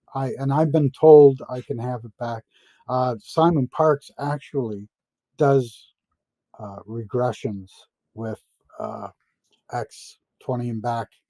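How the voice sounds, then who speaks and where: A man's dark, mellow, medium-pitched voice at a very slow pace, with big swings in loudness, long, frequent pauses and ordinary pitch variation, in a dry, close sound with no echo. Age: 70s. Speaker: interview guest claiming secret space program experience. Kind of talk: interview. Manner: halting, many fillers and repetitions.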